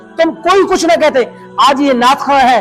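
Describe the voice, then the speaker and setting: A man talks with an extremely high pitch. Music plays in the background. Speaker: religious cleric. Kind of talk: religious talk to camera.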